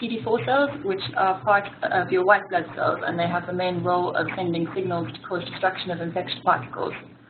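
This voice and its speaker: A woman with a South African accent, medium-pitched, very fast, with ordinary pitch variation and noticeable background noise. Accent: gentle South African. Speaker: physiotherapist. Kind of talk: webinar presentation. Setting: online webinar.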